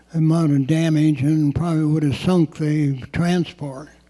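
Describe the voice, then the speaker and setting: Noticeable background noise sits behind a man speaking at a fairly slow pace. His intonation is monotone and flat. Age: 80s+. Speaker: Korean War veteran. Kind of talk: oral history talk.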